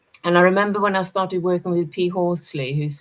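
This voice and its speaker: A woman speaks with a Swedish accent. Her voice is fairly low, with fairly even intonation. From Sweden. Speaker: energy and intuition teacher, former academic. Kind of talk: casual chat.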